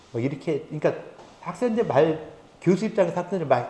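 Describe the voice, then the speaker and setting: Audible room echo surrounds a man's voice. He talks at a very fast pace with lively intonation. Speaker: professor. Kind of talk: lecture.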